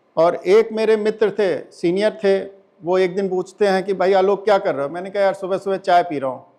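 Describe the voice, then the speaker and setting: A high-pitched male voice with fairly even intonation, at a moderate pace. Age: 60s. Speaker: lawyer and former civil servant giving a talk. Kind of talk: inspirational talk. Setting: stage with audience.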